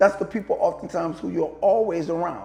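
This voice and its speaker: At a moderate pace, the speaker talks in an animated tone with a New Orleans accent. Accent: New Orleans pronunciation. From US South, New Orleans. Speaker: podcast host, motivational speaker. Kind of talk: motivational monologue. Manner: animated, rhetorical questions.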